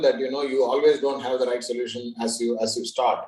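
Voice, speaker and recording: With a normal speaking voice, a man talks at a fairly quick pace and keeps his intonation fairly even. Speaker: panel moderator. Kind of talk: panel discussion.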